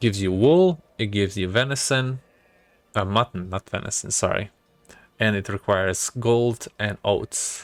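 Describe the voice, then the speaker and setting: Someone with a non-native accent speaks at a fairly slow pace with ordinary pitch variation, in a dry, close sound with no echo. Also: man, fairly low pitch for a man. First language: not English. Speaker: gaming video creator. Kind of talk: let's play game commentary. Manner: casual, thinking aloud with fillers.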